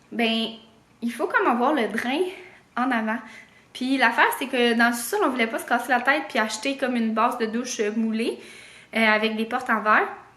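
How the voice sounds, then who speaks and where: A woman talks at a fairly quick pace in a high-pitched voice with a bright, sharp tone and ordinary pitch variation. Long, frequent pauses break her speech, and the room echo is audible. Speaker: vlogger. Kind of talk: casual vlog chat. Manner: hesitant, many fillers.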